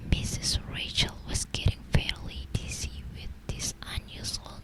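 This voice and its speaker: A woman whispers at a very slow pace. Noticeable background noise is present. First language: not English. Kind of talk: ASMR book reading. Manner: soft, slow, hesitant, stumbling over words.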